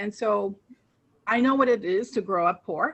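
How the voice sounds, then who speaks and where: With a Spanish accent, the speaker's pitch moves in an ordinary way. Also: woman. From moved from Colombia to Queens as a child. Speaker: political candidate. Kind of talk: interview.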